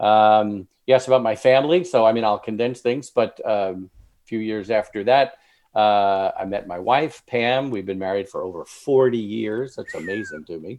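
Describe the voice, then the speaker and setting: A man with an American accent and a plain, everyday voice, medium in pitch, with ordinary pitch variation and big swings in loudness. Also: moderate pace. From Long Island, New York. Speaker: author. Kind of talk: casual interview. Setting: video call.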